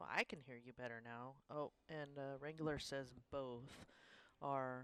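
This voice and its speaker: A woman speaks loudly with a very deep, low pitch. Her pace is fairly slow and her intonation fairly even. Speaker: pool stream co-host. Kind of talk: live commentary.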